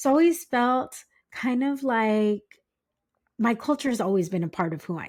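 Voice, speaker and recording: A fairly high-pitched woman with an American accent talks at a moderate pace, her intonation lively and her loudness swinging widely. Long, frequent pauses break up her speech on a very clean recording with a silent background. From US West Coast, San Diego County, California. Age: 40s. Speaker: podcast host, guest. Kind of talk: casual interview chat.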